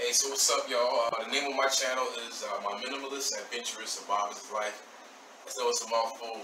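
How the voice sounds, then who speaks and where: At a very fast pace, a man talks while noticeable background noise carries on. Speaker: guest. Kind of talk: casual vlog chat. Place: home room.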